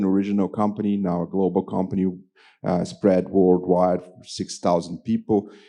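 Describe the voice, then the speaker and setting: With a Portuguese accent, a man speaks in a fairly low pitch and a dark, mellow tone against a quiet background. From Brazil. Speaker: business executive. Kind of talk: panel discussion.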